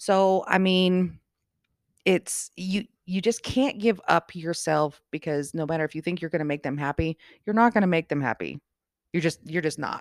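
A woman speaks at a moderate pace in an ordinary speaking voice, fairly low in pitch with ordinary variation. The recording is very clean, with a silent background and a dry, close sound with no echo. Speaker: bartender. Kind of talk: casual interview chat. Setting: at home.

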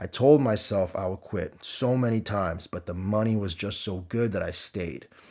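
In a very clean recording with a silent background, a man with a Canadian accent and an unremarkable speaking voice talks at a moderate pace, his fairly low pitch showing ordinary variation. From Canada (Windsor, Ontario). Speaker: gym owner and fitness coach. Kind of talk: storytelling monologue.

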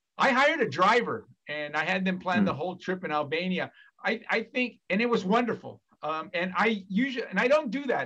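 Speaking with an American accent, a man uses a raised, projected voice that is high in pitch with a bright, sharp tone. His pace is fairly quick. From California. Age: 50s. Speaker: academic. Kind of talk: casual chat.

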